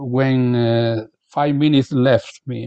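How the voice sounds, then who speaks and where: A man with a non-native accent speaks at a very slow pace, his medium-pitched voice dark and mellow in tone with fairly even intonation. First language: Spanish. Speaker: professor, keynote speaker. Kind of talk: lecture. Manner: halting.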